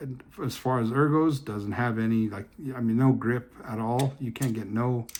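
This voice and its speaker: A man speaks at a medium pitch with fairly even intonation. Noticeable background noise is present. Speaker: fidget toy reviewer. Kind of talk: casual product review video. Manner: hesitant, many fillers and restarts; slow.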